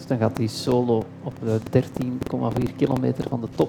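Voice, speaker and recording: A man talks at a medium pitch. Background noise can be noticed throughout. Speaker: cycling commentator and talk show host. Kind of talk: casual chat; live commentary. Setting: café with live audience.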